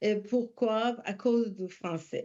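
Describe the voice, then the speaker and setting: Over a quiet background, a woman with a fairly high pitch speaks in a dark, mellow tone with fairly even intonation. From immigrant to Quebec, country not given. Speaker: refugee settlement organization representative. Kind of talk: parliamentary committee testimony. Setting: legislative committee hearing. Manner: halting.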